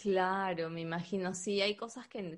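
Speaking at a very slow pace, the woman keeps a monotone, flat intonation. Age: 30s. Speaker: podcast co-host. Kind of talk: casual chat.

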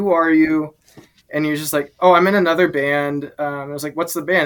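An unremarkable speaking voice with an American accent moves at a moderate pace. Its intonation is fairly even. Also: man. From Alexandria, Virginia, near DC. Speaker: drummer in a band. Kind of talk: casual chat. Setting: gym at his workplace.

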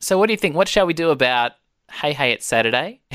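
On a very clean recording with a silent background, a man with an Australian accent speaks at a fairly high pitch with very wide pitch swings. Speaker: podcast host. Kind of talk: casual interview.

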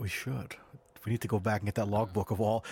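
Somewhat breathy, a man speaks at a medium pitch in a dry, close sound with no echo. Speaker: podcast host. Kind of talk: casual chat. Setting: video call.

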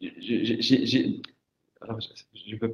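A man at a moderate pace. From Morocco. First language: Moroccan Arabic (speaking French). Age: 40s. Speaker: writer. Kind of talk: panel discussion. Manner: halting.

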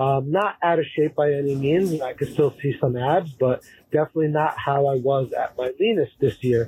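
Somewhat breathy, a man with a fairly high pitch speaks at a moderate pace in a dark, mellow tone. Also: ordinary pitch variation. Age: 30s. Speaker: caller. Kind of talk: recorded voicemail question.

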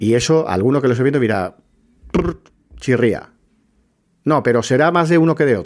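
Here a man talks at a moderate pace and a medium pitch, with lively intonation. His pauses are long and frequent. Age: 40s. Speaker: podcast host, journalist. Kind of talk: live-stream monologue, opinion talk. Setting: TikTok live stream. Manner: hesitant, with many fillers and repetitions.

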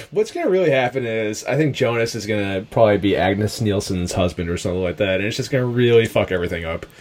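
Delivered at a very fast pace with hardly any pauses, the speech shows ordinary pitch variation over noticeable background noise. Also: man, fairly low pitch for a man. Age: 30s. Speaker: podcast host. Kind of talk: casual chat.

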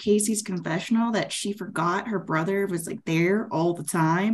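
Somewhat breathy woman's voice at medium pitch, with an American accent. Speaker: podcast panellist. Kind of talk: casual chat.

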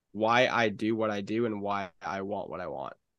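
Over a quiet background with a dry, close sound and no echo, a man with a plain, everyday voice speaks at a moderate pace, fairly low in pitch and with fairly even intonation. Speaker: podcast co-host. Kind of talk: casual chat.

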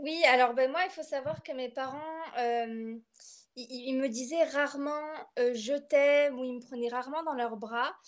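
A woman speaks at a very slow pace with a high pitch. Her pitch varies in an ordinary way. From France, Bordeaux. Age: 20s. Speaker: literature student and poet. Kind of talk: personal testimony interview. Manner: hesitant, many fillers and repetitions.

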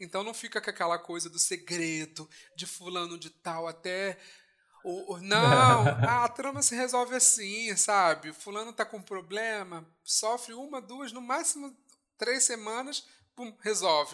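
A man's raised, projected voice, high-pitched, fairly slow, with lively intonation and big swings in loudness. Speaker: podcast co-host. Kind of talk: casual chat. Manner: animated.

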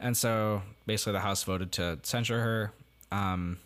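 This man has a fairly low pitch and an American accent, with a plain, everyday voice. His pitch varies in an ordinary way. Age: young. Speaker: podcast co-host, college student. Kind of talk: casual chat.

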